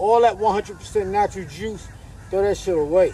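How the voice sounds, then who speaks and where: Over light background noise, a man speaks at a high pitch in a dry recording with no echo. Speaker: poet giving diet advice. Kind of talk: casual vlog rant. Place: street.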